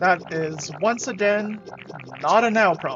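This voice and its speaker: Lively intonation over background music. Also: woman. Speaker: gaming streamer. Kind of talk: live gameplay commentary.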